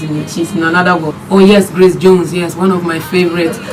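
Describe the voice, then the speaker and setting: Someone speaks at a fairly quick pace in a Northern Ghanaian accent, with noticeable background noise. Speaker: singer. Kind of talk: radio interview. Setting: radio studio.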